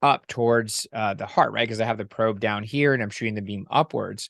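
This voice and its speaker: Against a quiet background, a man talks at a moderate pace with ordinary pitch variation in an unremarkable speaking voice, in a dry, close sound with no echo. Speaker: ultrasound instructor. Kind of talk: lecture.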